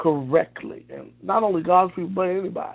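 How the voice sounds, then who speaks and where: High pitch for a man, with fairly even intonation at a moderate pace. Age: 30s. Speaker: minister. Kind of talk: sermon. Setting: internet radio broadcast. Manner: halting.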